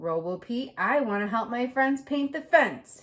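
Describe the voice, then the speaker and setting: A woman uses a put-on character voice at a high pitch. She keeps a moderate pace. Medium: read story.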